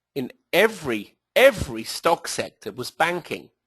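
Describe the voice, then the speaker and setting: A man with a British accent speaks in a high voice, his pitch swinging very widely. The background is quiet. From southern England. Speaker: trading educator, company executive. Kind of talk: presentation. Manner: hesitant, with fillers.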